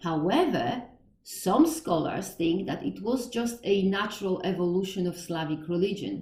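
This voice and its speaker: With a strong Polish accent and lively intonation, the speaker moves at a moderate pace over noticeable background noise. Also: woman, medium pitch for a woman. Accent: Polish, thick. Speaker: podcast host on Slavic religion. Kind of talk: educational monologue. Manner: halting, with self-corrections.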